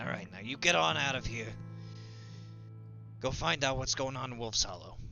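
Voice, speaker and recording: A man puts on a character voice at medium pitch while clear music plays in the background. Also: moderate pace. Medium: actual play. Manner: gruff, plainspoken.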